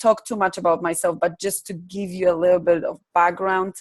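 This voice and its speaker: A woman talks with a Polish accent. Her intonation stays fairly even. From Poland. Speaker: life coach and trainer. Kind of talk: online workshop presentation. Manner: hesitant, many fillers.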